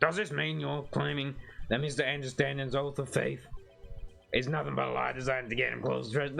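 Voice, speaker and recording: Over clear background music, a man does a put-on character voice at a very fast pace. It sounds raspy, with medium pitch. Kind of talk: formal, courtroom. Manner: accusatory.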